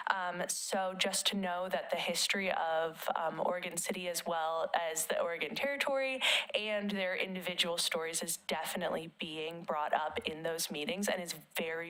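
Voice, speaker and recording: Against noticeable background noise, a woman talks at a moderate pace at a fairly low pitch with ordinary pitch variation. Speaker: city staff member. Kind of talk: public meeting comment. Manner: usually loud; halting, many fillers.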